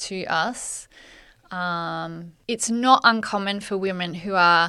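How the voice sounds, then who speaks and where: A woman's medium-pitched voice with a bright, sharp tone and an Australian accent, at a very slow pace, on a very clean recording with a silent background. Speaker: podcast co-host, magazine editor. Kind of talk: casual chat.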